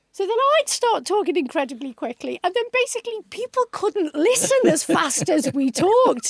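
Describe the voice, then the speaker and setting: A woman with a British accent speaks at an extremely high pitch with very wide pitch swings and hardly any pauses, in a dry, close sound with no echo. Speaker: TV executive producer, former commissioning editor. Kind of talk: casual chat. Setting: studio. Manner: fast.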